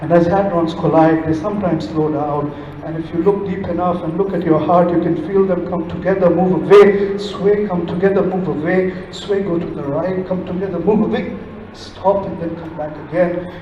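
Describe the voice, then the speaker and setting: Over noticeable background noise, a man with a high voice speaks in a flat monotone at a moderate pace. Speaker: poet. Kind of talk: spoken word poetry performance. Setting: live stage, festival audience.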